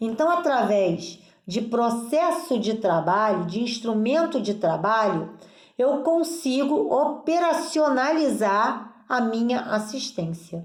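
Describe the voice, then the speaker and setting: A woman's fairly high voice moves at a very slow pace through very wide pitch swings, her loudness very even, with audible room echo. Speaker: nursing teacher. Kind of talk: lecture.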